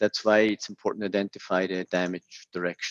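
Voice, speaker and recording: A man talks at a moderate pace with an unremarkable speaking voice and fairly even intonation. The sound is dry and close, with no echo. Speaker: technical presenter for a tool maker. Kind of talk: technical webinar. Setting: online webinar.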